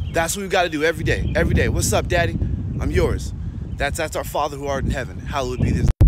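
A man talks at a very fast pace over music in the background. The sound is dry, with no echo. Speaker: faith content creator. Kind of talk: casual motivational faith talk. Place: street. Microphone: phone near.

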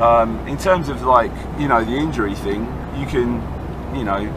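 A man talks at a moderate pace while noticeable background noise runs underneath. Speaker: fitness coach. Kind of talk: casual vlog chat answering a question. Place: car. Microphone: phone near.

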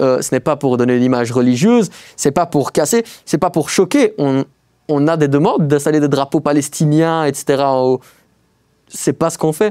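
Against a quiet background, a man with a fairly high pitch and a dark, mellow tone speaks at a fairly slow pace with ordinary pitch variation. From Belgium, Liège; Belgium. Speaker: urban explorer; guest. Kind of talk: casual interview. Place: studio.

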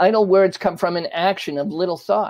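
High-pitched male voice at a moderate pace over a quiet background. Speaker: religious teacher. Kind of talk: sermon. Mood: calm, smiling, earnest. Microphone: lapel.

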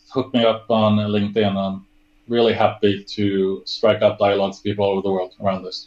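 In a Swedish accent, the speaker goes at a fairly quick pace. The intonation stays monotone and flat. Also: man, fairly low pitch for a man. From Sweden. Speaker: service design director; interview guest. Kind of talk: interview. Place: home room.

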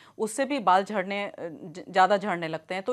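The background is quiet as a woman talks fairly slowly. Her pitch moves in an ordinary way. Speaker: guest. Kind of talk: interview answer. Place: studio.

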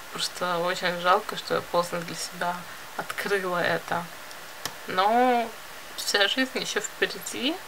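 A woman's very slow speech with long, frequent pauses, ordinary pitch variation and noticeable background noise. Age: 20s. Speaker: video blogger and illustrator; vlogger. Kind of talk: casual vlog monologue; casual vlog chat. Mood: reflective, confiding. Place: home room. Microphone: phone near.

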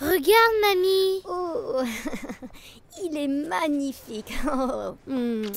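Very wide pitch swings mark a woman's voice, recorded with a dry sound with no echo. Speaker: voice actor. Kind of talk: dubbing demo. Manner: flirtatious, teasing. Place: booth. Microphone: studio mic. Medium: dub.

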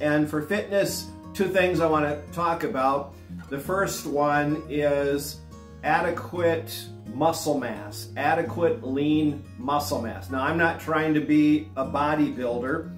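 Speech comes at a very slow pace with lively intonation. Room echo is audible, and faint music plays in the background. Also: man, fairly high pitch for a man. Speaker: fitness vlogger. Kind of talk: casual talk to camera, instructional fitness advice. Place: home room.

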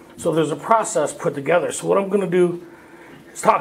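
Noticeable background noise is present. A man speaks fairly quickly over it. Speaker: recovery workshop speaker. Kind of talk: personal testimony talk. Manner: casual, conversational.

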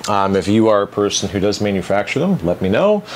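A man talks in an ordinary speaking voice at a moderate pace, his pitch fairly low. There is light background noise. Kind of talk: tutorial. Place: workshop.

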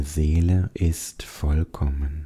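A gentle, warm tone on a very clean recording with a silent background. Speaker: meditation guide. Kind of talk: guided meditation. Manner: soft, calm and slow, soothing, with pauses; gentle, warm, addressing the listener as du.

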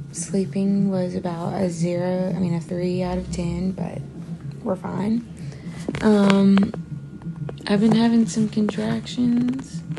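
A woman at a very slow pace, with long, frequent pauses, ordinary pitch variation and music in the background. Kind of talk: casual vlog chat. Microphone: phone near.

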